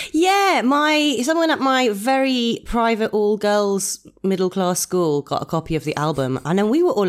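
A woman speaks with an English accent and very wide pitch swings. She leaves hardly any pauses. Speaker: burlesque performer and host. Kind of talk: casual chat. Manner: animated.

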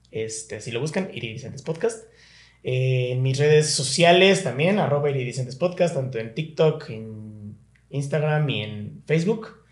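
Speaking with a Mexican accent, a man uses a fairly high pitch and lively intonation. His voice is somewhat breathy. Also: fairly slow pace. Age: 30s. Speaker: podcast host. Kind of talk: casual chat.

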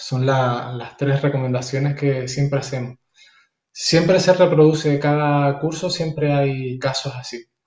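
A man speaks in a normal speaking voice at a fairly high pitch. His pace is fairly slow and his intonation fairly even. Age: 40s. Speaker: martial arts teacher and school counselor. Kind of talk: casual interview chat.

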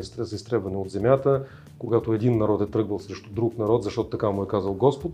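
Over music in the background, a man talks at a fairly quick pace and a medium pitch. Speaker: spiritual teacher. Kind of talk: interview.

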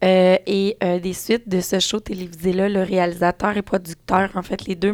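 Speaking in a Quebec accent, a woman uses a medium pitch and monotone, flat intonation. The recording is very clean with a silent background and a dry, close sound with no echo. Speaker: parenting blogger and author. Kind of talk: casual chat.

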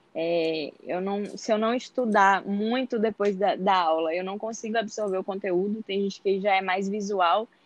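At a fairly slow pace with hardly any pauses, a woman with a plain, everyday voice speaks at a medium pitch and fairly even intonation against a quiet background. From interior of Bahia, Brazil. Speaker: medical student. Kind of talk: interview.

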